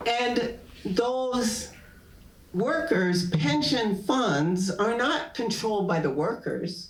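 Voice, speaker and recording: Very slowly and at very even loudness, a woman with an American accent speaks at a medium pitch with very wide pitch swings, amid audible room echo and noticeable background noise. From New Haven, Connecticut, US. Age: 70s. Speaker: professor. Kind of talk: public talk, onstage conversation.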